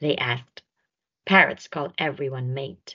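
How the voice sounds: At a slow pace, a woman talks with an extremely low pitch, a bright, sharp tone and ordinary pitch variation.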